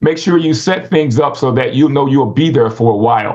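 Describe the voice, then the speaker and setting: At a fairly quick pace, a man speaks in a fairly high, somewhat breathy voice with ordinary pitch variation. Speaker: Adventist speaker on rural living. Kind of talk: instructional talk. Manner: fast; halting, many fillers.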